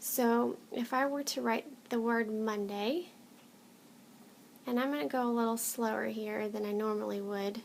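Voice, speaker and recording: A woman talks at a moderate pace with a fairly high pitch. Her pitch variation is ordinary, and she takes long, frequent pauses. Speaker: planner and handwriting vlogger. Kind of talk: tutorial. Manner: casual, unscripted.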